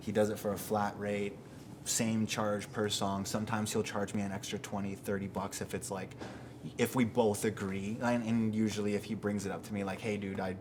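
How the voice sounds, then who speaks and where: A man with a western Canadian accent talks at a fairly quick pace. His fairly low voice stays monotone and flat. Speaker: rapper. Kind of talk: documentary interview. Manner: casual, filler-heavy.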